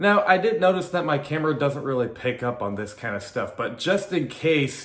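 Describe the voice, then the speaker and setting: A man talks at a moderate pace in a room with audible echo. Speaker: sports YouTuber, football fan commentator. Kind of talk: casual vlog commentary. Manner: casual, filler-heavy.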